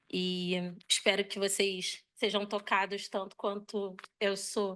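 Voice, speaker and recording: Her tone is bright and sharp. The woman speaks at a very slow pace with a medium pitch. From Brazil, Rio de Janeiro. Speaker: architect and curator. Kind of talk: conference presentation. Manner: halting, hesitant.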